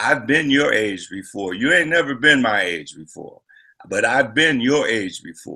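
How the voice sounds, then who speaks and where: With vocal fry and a bright, sharp tone, a man speaks with lively intonation. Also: medium pitch for a man, fairly slow pace. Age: 60s. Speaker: celebrity guest at political rally. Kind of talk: panel discussion. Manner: casual, halting with repetitions.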